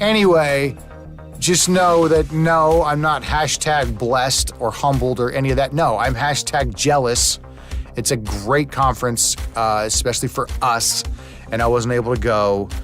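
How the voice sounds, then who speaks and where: A man talks at a fairly slow pace with lively intonation and very even loudness, music playing behind him. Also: medium pitch for a man. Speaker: podcast host. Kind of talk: casual podcast intro.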